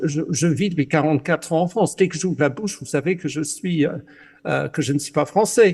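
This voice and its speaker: In front of a quiet background, a man with an English accent speaks at a moderate pace and fairly high pitch, with vocal fry and ordinary pitch variation. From Britain. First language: English (speaking French). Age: 60s. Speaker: journalist. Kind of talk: panel discussion. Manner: halting, many hesitations.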